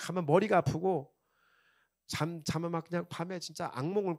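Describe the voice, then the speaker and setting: In a very clean recording with a silent background and a dry, close sound with no echo, a man with a Chungcheong accent speaks at a high pitch in an animated tone. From South Korea, Chungcheong region. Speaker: pastor. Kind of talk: sermon. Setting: church.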